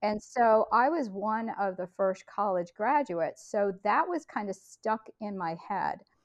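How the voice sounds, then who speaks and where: In a normal speaking voice, a woman talks at a fairly slow pace and fairly high pitch, with lively intonation and hardly any pauses. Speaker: podcast network leader and homeschool mom. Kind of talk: casual interview chat.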